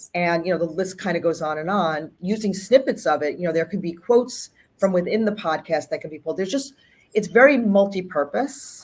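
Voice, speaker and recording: A woman's medium-pitched voice with an American accent, at a fairly quick pace, with lively intonation and big swings in loudness. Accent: New York, toned down. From New York. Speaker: health communications executive. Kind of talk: casual interview. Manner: fast.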